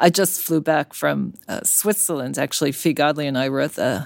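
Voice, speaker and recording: A woman with an American accent speaks in a very deep, low voice with vocal fry. Her pace is moderate and her pitch variation ordinary. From US, Brooklyn, New York. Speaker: cardiologist and medical journal editor. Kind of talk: interview.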